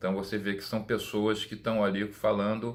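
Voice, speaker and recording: Speaking at a moderate pace, a man talks with a fairly low pitch. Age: 60s. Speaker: perfume YouTuber. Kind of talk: casual monologue. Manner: halting, many repetitions.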